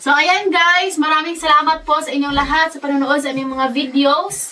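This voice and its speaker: A woman's raised, projected voice, high in pitch, over noticeable background noise. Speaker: family vlogger. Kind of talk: vlog narration.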